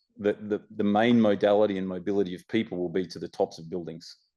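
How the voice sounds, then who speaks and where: The speaker has an Australian accent and keeps a moderate pace. Behind the voice, the background is quiet. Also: man. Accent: Australian, self-described as awful. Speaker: panelist on technology and urban design. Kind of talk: roundtable panel discussion. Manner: halting, many fillers.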